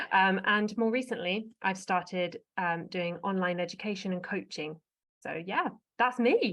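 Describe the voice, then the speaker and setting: A woman with an English accent talks at a fairly slow pace, her pitch varying in an ordinary way. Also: medium pitch for a woman. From England, Essex. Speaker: emergency medicine doctor. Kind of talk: interview conversation. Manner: animated.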